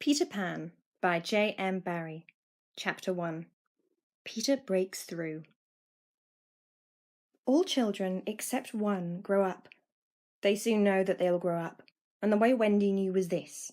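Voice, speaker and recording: A woman with an English accent, medium-pitched, ordinary pitch variation, a fairly slow pace and long, frequent pauses. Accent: well-spoken English. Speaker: amateur audiobook reader. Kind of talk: children's audiobook reading.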